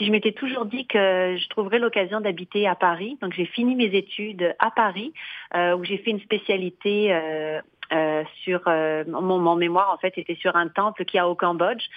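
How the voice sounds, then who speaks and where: Speaking in a plain, everyday voice, a woman keeps a moderate pace and ordinary pitch variation. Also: medium pitch for a woman. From France, Limoges. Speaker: arts venue director. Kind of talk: radio interview. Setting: phone call.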